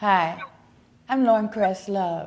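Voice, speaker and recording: A woman with a plain, everyday voice, fairly slow pace and fairly even intonation. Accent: American. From Chicago. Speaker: book fair vendor. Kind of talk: promotional announcement.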